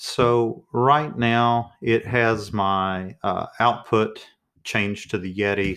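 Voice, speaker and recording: The tone is bright and sharp, with fairly even intonation. The recording is very clean, with a silent background. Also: man. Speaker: teacher testing a microphone. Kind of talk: tutorial. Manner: soft-spoken. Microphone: testing a new USB condenser mic, switching pickup patterns.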